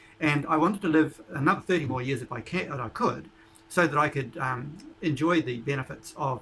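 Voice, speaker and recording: A man's fairly quick delivery, pitched fairly high with ordinary variation in pitch, comes through noticeable background noise. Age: 70s. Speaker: YouTuber interviewing a doctor. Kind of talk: casual narration to camera. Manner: halting, with fillers.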